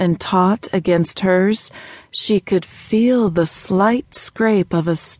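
A natural voice reading aloud

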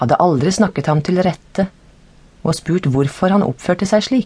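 This woman has a dark, mellow, somewhat breathy voice pitched fairly low. Her intonation is lively while her loudness stays very even. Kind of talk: audiobook reading of scripture, narrated Bible text. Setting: studio. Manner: formal, steady, measured narration; even and unacted, no character voices.

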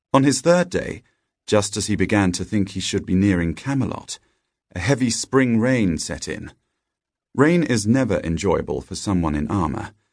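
A man's gentle, playful voice with very wide pitch swings, set against a quiet background. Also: moderate pace. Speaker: audiobook narrator. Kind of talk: scripted storybook narration, read aloud. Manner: gentle, storytelling cadence with playful character dialogue.

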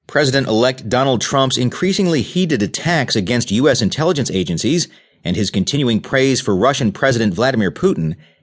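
A man speaks at a medium pitch in a normal speaking voice, with lively intonation and a fairly quick pace. The background is quiet. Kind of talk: news reading. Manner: formal; steady, even-paced headline delivery.

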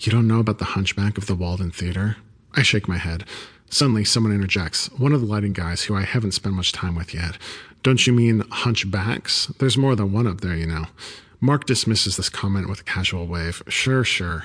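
Against a quiet background, a man with a plain, everyday voice speaks at a fairly quick pace in a fairly low pitch, with ordinary pitch variation. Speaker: audiobook narrator. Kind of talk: ghost story telling, hushed and suspenseful, with character voices for dialogue.

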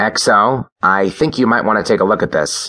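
A man speaks at a moderate pace with a fairly low pitch and ordinary pitch variation. His loudness stays very even throughout.

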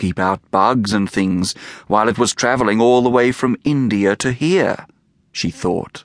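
Someone is reading aloud in a natural voice. Ordinary pitch variation runs through it.

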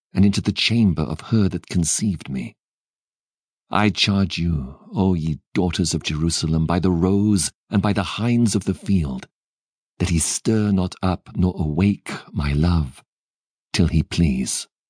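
Speaking at a fairly slow pace, a man uses a very deep, low pitch with ordinary pitch variation, in a dry, close sound with no echo. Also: quiet background. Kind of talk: poetry reading. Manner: measured, lyrical and reverent.

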